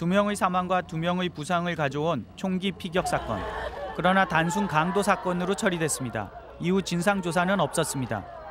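Speaking at a moderate pace, a man uses a high pitch with ordinary variation. There is noticeable background noise. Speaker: TV news producer-reporter. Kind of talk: scripted narration.

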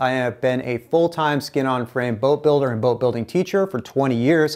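A man talks at a moderate pace with ordinary pitch variation against a quiet background. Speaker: teacher. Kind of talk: tutorial. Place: studio. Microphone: lapel.

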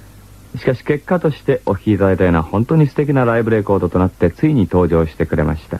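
A plain, everyday voice from a man, fairly low in pitch, with lively intonation and a dry sound with no echo. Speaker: radio host. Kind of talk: radio program narration. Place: studio. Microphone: old recording.

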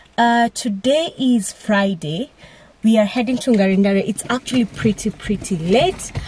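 A woman speaks at a fairly slow pace in a somewhat breathy, dark, mellow tone with ordinary pitch variation, the sound dry with no echo. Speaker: travel vlogger. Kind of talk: casual vlog chat. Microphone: phone near.

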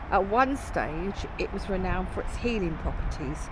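Someone speaks at a moderate pace. The sound is dry with no echo, though noticeable background noise is present. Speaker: travel vlogger. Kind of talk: casual vlog commentary. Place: street. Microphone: phone near.

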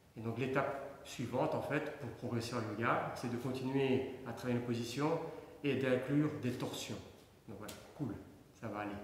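The speech goes at a fairly slow pace with ordinary pitch variation. Audible room echo and light background noise surround it. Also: man. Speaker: fitness instructor. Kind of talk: tutorial. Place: empty room. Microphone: camera far.

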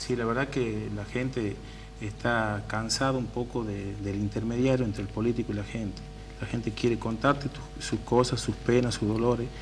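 Someone speaks at a moderate pace over faint background music. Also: man. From Tucumán, northwest Argentina. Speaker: political candidate, community worker; council candidate. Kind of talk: radio interview. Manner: casual. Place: studio.

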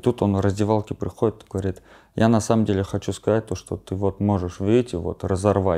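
A man with a dark, mellow tone and fairly low pitch keeps a fairly even intonation over a quiet background. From Armenia. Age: 20s. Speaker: bare-knuckle fighter; interview guest. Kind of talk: interview. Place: home room.

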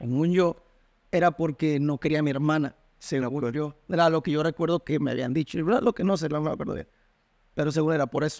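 A man at a fairly high pitch with ordinary pitch variation and a fairly quick pace, against a quiet background. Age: 20s. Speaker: university student; interview guest. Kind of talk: casual chat. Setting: at home. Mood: relaxed, candid storytelling. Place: home room. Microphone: studio mic.

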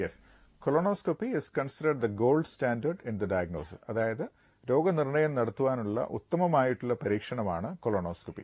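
With a dry sound and no echo, a man's voice moves through very wide pitch swings. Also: medium pitch for a man, quiet background. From Kerala, India. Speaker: gastroenterologist doctor; guest. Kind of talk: TV health interview. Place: studio. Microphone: lapel.

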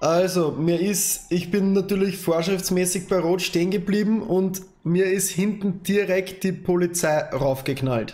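Over music in the background, a man with a high pitch talks at a fairly slow pace with fairly even intonation. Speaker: game streamer in roleplay as bus driver. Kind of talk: roleplay gaming commentary. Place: home room.

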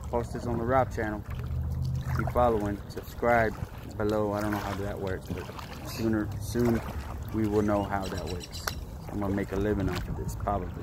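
Over noticeable background noise, a man speaks at a moderate pace with long, frequent pauses, and the sound is dry with no echo. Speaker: family vlogger. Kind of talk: casual vlog chat. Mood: relaxed, playful. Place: waterside. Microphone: phone near.

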